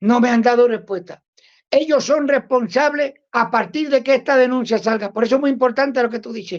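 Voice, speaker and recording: In a Cuban accent, a woman talks at a moderate pace in a high voice with ordinary pitch variation. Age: 60s. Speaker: Cuban anti-communist activist. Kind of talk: interview. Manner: halting, with many repetitions.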